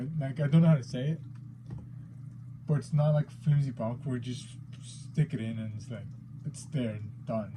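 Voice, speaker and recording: Somewhat breathy and dark, mellow in tone, a man with a non-native accent speaks at a fairly quick pace with fairly even intonation. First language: not English. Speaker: figure collector, unboxing youtuber. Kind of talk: unboxing video, casual. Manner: hesitant, many fillers.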